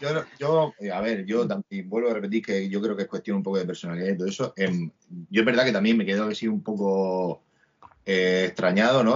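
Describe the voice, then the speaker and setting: It's a plain, everyday voice from a man, fairly low in pitch, with ordinary pitch variation at a moderate pace. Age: 40s. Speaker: musician. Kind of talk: casual chat interview.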